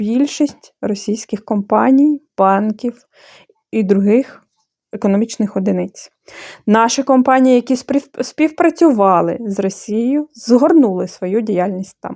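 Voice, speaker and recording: In a Bulgarian accent, a woman speaks at a fairly slow pace in a fairly high pitch with a dark, mellow tone and big swings in loudness. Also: dry, close sound with no echo. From Moldova. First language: Bulgarian (speaking Ukrainian). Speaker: handicraft blogger. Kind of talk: opinion monologue; tutorial.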